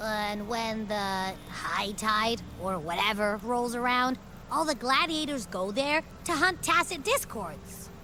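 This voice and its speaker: Putting on a playful character voice, a woman speaks at a fairly slow pace and fairly high pitch, with clear background noise behind her. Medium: video game. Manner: chatty, playful.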